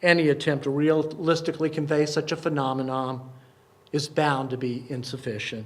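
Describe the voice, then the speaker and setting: This man has a plain, everyday voice with fairly high pitch. He talks at a moderate pace with fairly even intonation. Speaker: poet and performer, congregation service speaker. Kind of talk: poetry reading at a live service. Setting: live service in a synagogue.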